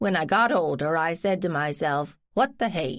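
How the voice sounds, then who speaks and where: A female-sounding voice performs a put-on character voice. The pace is fairly slow. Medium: read story. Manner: blunt, dry, folksy.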